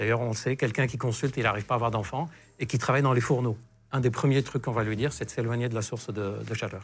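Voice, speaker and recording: A man speaking very fast, somewhat breathy, with fairly even intonation, in a very clean recording with a silent background. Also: medium pitch for a man. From Lebanon. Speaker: sexologist doctor. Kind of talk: casual interview chat.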